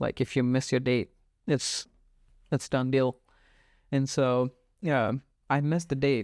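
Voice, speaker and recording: A man with a non-native accent speaks at a medium pitch and a fairly slow pace, with fairly even intonation, very even loudness, and long, frequent pauses. The recording is very clean and dry, close with no echo, over a silent background. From Pune, India. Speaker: podcast host. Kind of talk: casual conversation.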